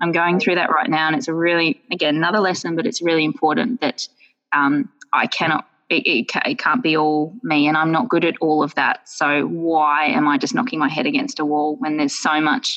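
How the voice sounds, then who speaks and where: With an Australian accent, a woman talks at a moderate pace and a fairly low pitch. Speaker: yoga wear business owner. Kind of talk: podcast interview. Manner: animated.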